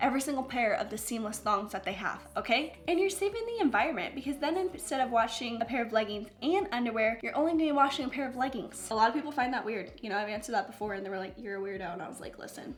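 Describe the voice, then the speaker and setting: Music plays in the background as a woman with an American accent talks at a very fast pace. Her tone is animated and her intonation lively. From Ohio. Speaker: fitness YouTuber. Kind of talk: Q&A vlog.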